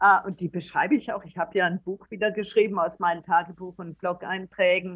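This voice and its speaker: In an unremarkable speaking voice, a woman at a medium pitch talks at a moderate pace with fairly even intonation. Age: 60s. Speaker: traveller and author. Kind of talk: interview. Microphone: poor recording quality.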